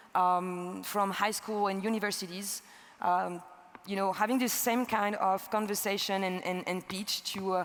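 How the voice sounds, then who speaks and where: In a French accent, a woman speaks at a moderate pace with monotone, flat intonation. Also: medium pitch for a woman. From France. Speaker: energy entrepreneur. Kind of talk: conference talk. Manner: halting.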